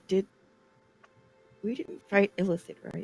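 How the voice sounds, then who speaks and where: A man whispers in a put-on character voice, soft-spoken and breathy, at a moderate pace. The sound is dry and close, with no echo. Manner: whispering.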